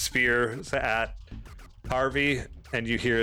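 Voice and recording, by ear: The clip is reading aloud in a natural voice, with fairly even intonation.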